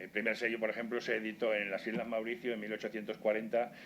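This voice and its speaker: Fairly quick speech from a man, pitched fairly low. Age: 70s. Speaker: stamp collector. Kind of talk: online webinar talk. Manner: halting.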